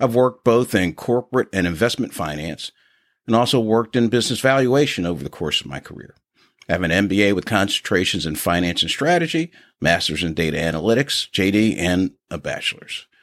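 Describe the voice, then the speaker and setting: A man with an American accent talks at a fairly quick pace, fairly low, with very wide pitch swings. The very clean recording has a silent background and a dry, close sound with no echo. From Philadelphia, Pennsylvania. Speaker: podcast co-host, finance executive. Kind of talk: casual podcast intro, partly scripted.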